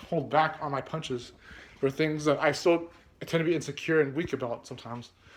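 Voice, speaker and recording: In a plain, everyday voice, a man talks at a fairly quick pace. His pitch is fairly high, with ordinary variation. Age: 20s. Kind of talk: casual vlog talk to camera, rambling.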